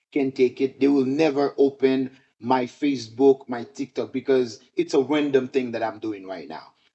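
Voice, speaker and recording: At a moderate pace, a man with a Haitian accent speaks at medium pitch. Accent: Haitian Creole-accented English. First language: Haitian Creole. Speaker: teacher. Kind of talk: tutorial. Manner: halting, many fillers.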